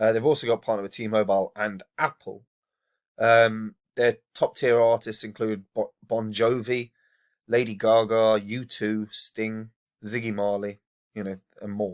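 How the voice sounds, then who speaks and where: A man talks at a fairly slow pace and a medium pitch in a flat monotone, the sound dry and close with no echo on a very clean recording with a silent background. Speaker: crypto investing youtuber. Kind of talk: casual talk to camera. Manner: hesitant, many fillers.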